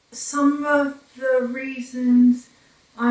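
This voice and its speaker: Speaking in a Newfoundland accent at a very slow pace, a woman keeps her intonation monotone and flat. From Newfoundland, Canada. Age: 40s. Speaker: brain injury survivor. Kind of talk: personal testimony. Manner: hesitant, with fillers.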